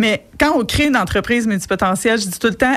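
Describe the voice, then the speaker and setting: A woman's fairly high voice at a very fast pace with ordinary pitch variation. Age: 40s. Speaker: entrepreneur and coach. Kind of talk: radio interview. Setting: radio studio.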